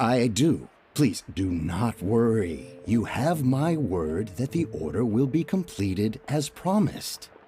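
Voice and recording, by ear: In a put-on character voice, a man speaks slowly with few pauses, his medium-pitched, dark, mellow tone carrying a husky, rough edge and big pitch swings.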